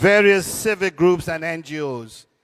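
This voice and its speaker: With a Turks and Caicos accent, a man talks at a fairly slow pace with ordinary pitch variation in a dry, close sound with no echo. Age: 80s+. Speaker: cultural elder. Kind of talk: panel discussion.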